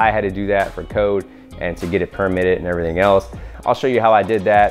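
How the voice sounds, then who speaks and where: A man's fairly low voice over faint background music. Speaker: DIY video creator. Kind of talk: tutorial. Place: garage.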